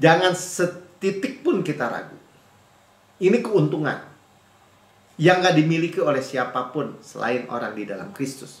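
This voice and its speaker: A high-pitched man at a fairly slow pace, with very wide pitch swings, big swings in loudness, long, frequent pauses, audible room echo and noticeable background noise. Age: 50s. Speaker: pastor. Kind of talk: sermon. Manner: animated.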